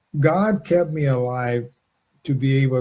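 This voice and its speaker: At a fairly slow pace, this somewhat breathy, dark, mellow voice carries an American accent and ordinary pitch variation. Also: man. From Los Angeles, California. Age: 80s+. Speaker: wrongfully convicted former prisoner, businessman. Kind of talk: interview. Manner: halting, many fillers and restarts.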